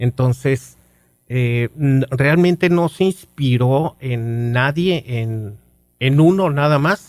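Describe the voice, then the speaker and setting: Speaking very slowly, a man uses a medium pitch with ordinary pitch variation, the sound dry and close with no echo. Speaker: radio announcer. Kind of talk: interview answer.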